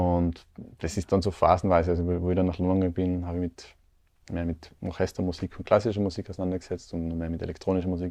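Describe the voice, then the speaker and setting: A man speaks at a very fast pace with a very deep, low pitch and a dark, mellow tone. His intonation is monotone and flat, and the background is quiet. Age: 30s. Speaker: percussionist and composer. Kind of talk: casual interview. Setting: studio.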